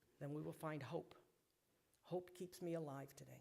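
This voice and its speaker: Fairly even intonation at a fairly quick pace. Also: man. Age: 60s. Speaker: recovering alcoholic giving testimony. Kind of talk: testimony. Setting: synagogue service with congregation. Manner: emotional, earnest.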